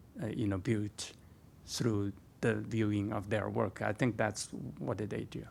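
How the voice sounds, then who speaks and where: The speaker talks at a fairly slow pace with ordinary pitch variation. Vocal fry runs through the voice. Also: man, fairly low pitch for a man. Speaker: art scholar and curator. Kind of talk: lecture Q&A. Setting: museum talk with audience. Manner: halting, many fillers.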